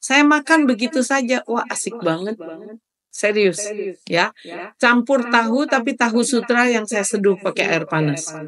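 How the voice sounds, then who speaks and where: A woman has an unremarkable speaking voice with a fairly high pitch. She talks at a fairly slow pace with lively intonation. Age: 60s. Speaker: webinar moderator and cooking instructor. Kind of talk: webinar Q&A.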